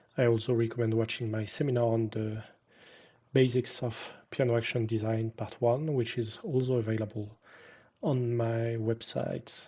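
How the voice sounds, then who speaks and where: A man's medium-pitched, somewhat breathy voice in a French accent, dark and mellow in tone, with monotone, flat intonation and a moderate pace. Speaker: piano designer and technician. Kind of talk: webinar lecture.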